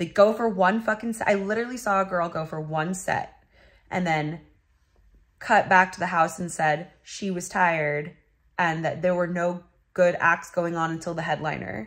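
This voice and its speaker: A woman's fairly low voice at a moderate pace, with ordinary pitch variation, over a quiet background. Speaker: vlogger. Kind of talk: casual vlog chat. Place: home room. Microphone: phone near.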